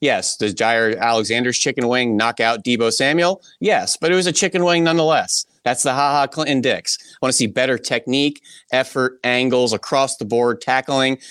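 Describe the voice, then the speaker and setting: Recorded very cleanly with a silent background and a dry, close sound with no echo, a man with an ordinary speaking voice and medium pitch talks at a moderate pace with ordinary pitch variation and very even loudness. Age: 30s. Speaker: football analyst. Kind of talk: casual chat.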